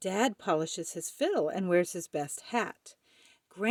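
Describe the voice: Someone reads aloud plainly. No background sound intrudes, as it is quiet.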